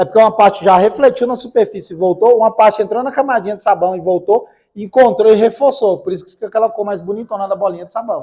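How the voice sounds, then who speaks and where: A man with a high voice and a dark, mellow tone talks very fast with hardly any pauses, his loudness swinging widely while his pitch varies in an ordinary way. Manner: sleepy, lulling.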